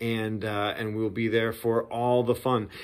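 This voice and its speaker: Fairly slow male speech over a quiet background. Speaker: church pastor. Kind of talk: casual sermon preview talk. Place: home room.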